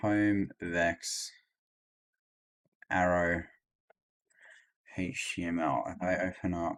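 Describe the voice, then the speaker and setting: In a very clean recording with a silent background, the speaker moves at a very slow pace with long, frequent pauses. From Australia. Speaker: software developer. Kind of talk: live coding stream. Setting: livestream. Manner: halting, many fillers.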